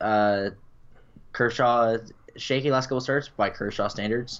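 Here is a man with an ordinary speaking voice at medium pitch. His pace is fairly slow and his intonation fairly even. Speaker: co-host. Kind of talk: casual chat.

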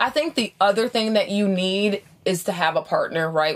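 A woman with an American accent and an ordinary speaking voice, moderate pace and ordinary pitch variation. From upstate New York. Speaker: hotel owner and interior designer, lecturer. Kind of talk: casual interview. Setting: treehouse outdoors, chilly.

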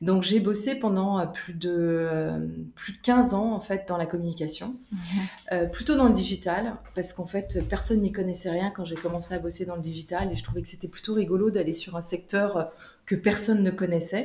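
Noticeable background noise accompanies this woman as she talks at a moderate tempo. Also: medium pitch for a woman, ordinary pitch variation. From Canada. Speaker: business coach. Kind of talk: interview. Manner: hesitant, many fillers.

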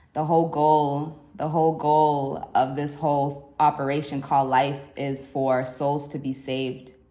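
A woman's very deep, low voice, dark and mellow in tone, with monotone, flat intonation, a fairly slow pace and audible room echo. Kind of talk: solo faith podcast monologue.

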